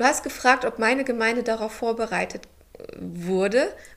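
An ordinary speaking voice, a woman's, sits fairly high in pitch with ordinary pitch variation. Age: 30s. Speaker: pastor. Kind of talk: casual chat.

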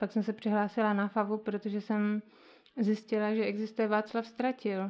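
A woman speaks at a moderate pace. Her voice is medium in pitch. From Moravia, Valašské Meziříčí (Czech Republic). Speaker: musician and visual artist. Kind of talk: interview.

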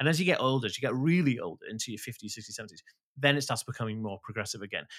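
Speaking at a very fast pace, a man with a medium pitch makes very wide pitch swings in a very clean recording with a silent background. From rural Wales. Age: 30s. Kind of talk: casual interview chat. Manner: talkative, fast; animated.

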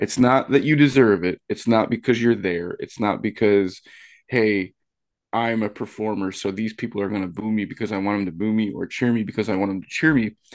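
A man with a plain, everyday voice, fairly low-pitched and fairly quick, with ordinary pitch variation against a quiet background. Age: 30s. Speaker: wrestling commentator. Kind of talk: casual chat.

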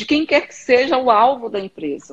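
This woman speaks with lively intonation. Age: 40s. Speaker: therapist and hypnotist. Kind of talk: casual chat on Instagram live. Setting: video call.

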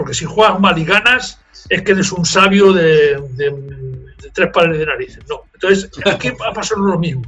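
A man's high, bright, sharp voice in a Spanish accent, with ordinary pitch variation, a moderate pace and hardly any pauses. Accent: Spanish (Spain). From Spain (Zaragoza), raised in Toulouse, France from age 12. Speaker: marathon race director. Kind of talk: interview. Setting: remote call.

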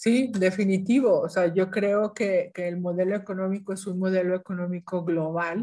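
A woman at medium pitch, a plain, everyday voice, with fairly even intonation and a moderate pace. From northern Mexico, Ciudad Victoria, Tamaulipas. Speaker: UN environment official. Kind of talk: interview.

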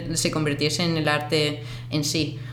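Against noticeable background noise and audible room echo, a woman speaks with ordinary pitch variation. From Andalusia, Spain (Seville, Cádiz). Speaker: photographer and artist. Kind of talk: interview. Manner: halting.

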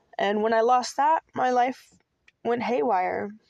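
Over a quiet background in dry, close sound with no echo, a woman with an American accent and a normal speaking voice talks at a moderate pace with ordinary pitch variation. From US Pacific Northwest, Seattle. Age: 30s. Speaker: podcast host. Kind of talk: personal monologue. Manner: casual, with frequent fillers.

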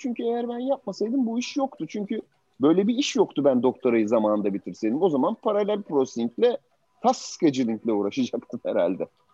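A man's moderately paced speech with very wide swings in pitch. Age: 50s. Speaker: tech startup founder. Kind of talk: interview talk to students. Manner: halting.

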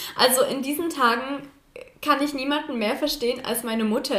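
A high-pitched woman's voice with a slight Saxon accent over noticeable background noise. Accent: barely noticeable Saxon. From Saxony, Chemnitz. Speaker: university student, podcast co-host. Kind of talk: casual chat.

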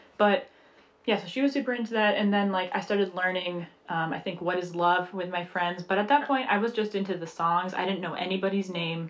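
Over noticeable background noise, a woman with a medium pitch talks at a fairly quick pace. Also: ordinary pitch variation. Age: 20s. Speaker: podcast co-host. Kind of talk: casual chat.

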